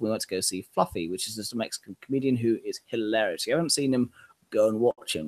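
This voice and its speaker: Recorded with a dry, close sound and no echo, a man talks at a very fast pace with lively intonation in a southern English accent. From southern England. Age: 20s. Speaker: podcast host. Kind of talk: casual chat.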